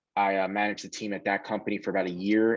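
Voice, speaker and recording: With a strong New York accent, a man speaks at a very fast pace in a fairly low voice with monotone, flat intonation. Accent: thick New York. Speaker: sales director. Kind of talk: career talk, interview. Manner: casual, filler-heavy.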